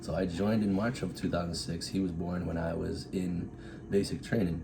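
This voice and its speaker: A man with an American accent speaks in a very deep, low voice, his intonation fairly even, with audible room echo around him. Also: moderate pace. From Massachusetts, south of Boston. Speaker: Air Force officer. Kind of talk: casual interview.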